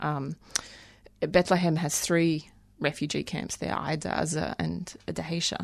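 A woman with an Australian accent speaks in a very deep, low voice with vocal fry. Her intonation is fairly even, and the background is quiet. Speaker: human rights lawyer. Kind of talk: interview. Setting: studio.

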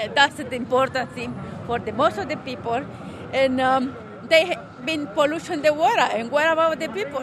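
A woman with a Salvadoran accent speaks at a moderate pace, high in pitch with ordinary pitch variation. There is audible room echo and noticeable background noise. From El Salvador, San Vicente. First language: Spanish. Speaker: protester. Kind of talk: interview.

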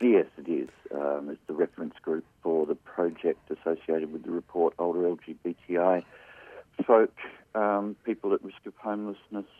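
A man's very deep, low voice in an Australian accent, moderate in pace, with ordinary pitch variation and big swings in loudness. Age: 60s. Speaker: aged care trainer and housing advocate. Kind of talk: interview. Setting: studio.

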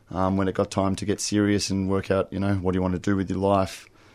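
Over a very clean recording with a silent background, a man with an Australian accent speaks in a monotone, flat way at a fairly low pitch. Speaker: recovering gambler, GA member. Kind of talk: testimony. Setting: radio studio.

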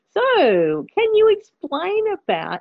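Very slow speech comes from a woman in an Australian accent. Her pitch swings very widely. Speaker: community radio host. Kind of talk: interview.

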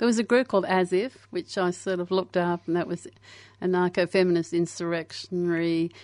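A woman talks at a fairly quick pace with an Australian accent and a fairly low pitch. Her intonation is fairly even, and the sound is dry and close with no echo. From Australia (Brisbane, Queensland), born in England to Irish parents. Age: 60s. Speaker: anarchist activist. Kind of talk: casual interview chat. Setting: radio studio.

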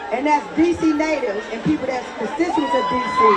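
Amid crowd noise and audible room echo, a woman with an American accent talks at a moderate pace. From Washington, D.C. (Southeast). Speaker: protest organizer. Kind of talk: protest rally speech. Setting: outdoors. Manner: loud.

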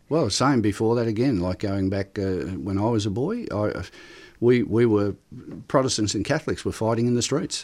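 This man has an ordinary speaking voice, pitched in the middle range with ordinary pitch variation. He speaks at a moderate pace. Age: 60s. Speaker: union organiser. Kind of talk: casual interview.

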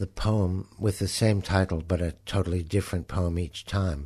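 A man with a Canadian accent speaks at a moderate pace, his very deep, low pitch showing ordinary variation. His tone is dark and mellow and somewhat breathy. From Canada. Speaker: poet. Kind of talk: poetry reading. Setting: studio. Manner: contained, often whispered; halting.

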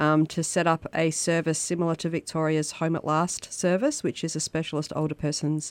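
In a very clean, silent recording with a dry, close sound and no echo, a woman with an Australian accent speaks at a moderate pace with a very deep, low pitch. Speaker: radio co-host, housing advocacy director. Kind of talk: community radio chat. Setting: radio studio.

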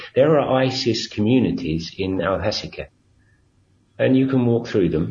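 A man with an English accent, medium pitch, vocal fry, lively intonation and a moderate pace. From England. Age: 50s. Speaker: activist at a civil diplomacy centre. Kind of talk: interview. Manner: halting.

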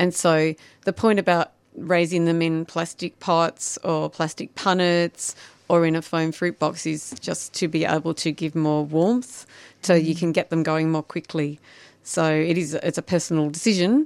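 With an Australian accent, a woman speaks in a fairly low pitch with fairly even intonation. The sound is dry and close with no echo, on a very clean recording with a silent background. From Shepparton, Victoria, Australia. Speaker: garden designer and writer. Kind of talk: casual chat. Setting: studio. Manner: fast talker.

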